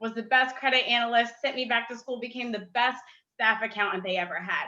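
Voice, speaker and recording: Fairly quick and fairly even in intonation, a woman speaks at a fairly high pitch in a plain, everyday voice. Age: 20s. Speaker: community leader and former city council candidate. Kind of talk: panel discussion. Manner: casual, with many fillers.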